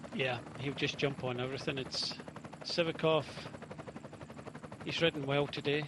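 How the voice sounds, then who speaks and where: A man with a Scottish accent at fairly high pitch and a moderate pace, fairly even intonation and long, frequent pauses, over noticeable background noise. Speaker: cycling commentator. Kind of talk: live commentary.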